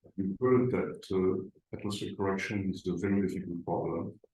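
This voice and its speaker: Audible room echo surrounds a man whose fairly low pitch, dark, mellow tone and ordinary pitch variation come through. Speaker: lecturer. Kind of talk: lecture. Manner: halting, many fillers.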